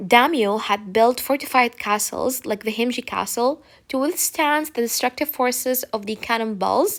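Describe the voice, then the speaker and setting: Lively intonation runs through a woman's high-pitched voice at a moderate pace. The recording is very clean, with a silent background. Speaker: teacher. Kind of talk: lecture. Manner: casual.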